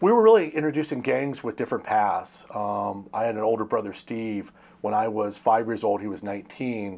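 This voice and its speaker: Against a quiet background, a man with an American accent and an unremarkable speaking voice talks at a fairly quick pace and a medium pitch with ordinary pitch variation. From Pennsylvania, after early childhood near Los Angeles. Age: 60s. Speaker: interviewer. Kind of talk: interview.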